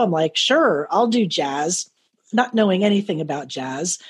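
Against a quiet background, a woman speaks at a moderate pace with a medium pitch. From South Florida. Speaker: radio host and network manager. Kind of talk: interview. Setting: video call. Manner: casual.

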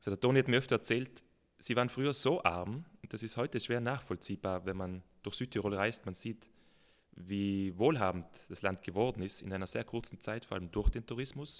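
With an ordinary speaking voice, a man talks at a fairly quick pace and a fairly low pitch with ordinary pitch variation, in a very clean recording with a silent background. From South Tyrol. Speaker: mountaineer and mountain farmer. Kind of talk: casual interview.

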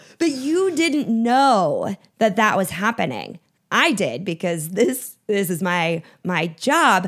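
The recording is very clean, with a silent background. A woman speaks at a very slow pace with very wide pitch swings. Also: fairly high pitch for a woman. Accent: American. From Minnesota. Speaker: storytelling consultant and keynote speaker. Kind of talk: interview.

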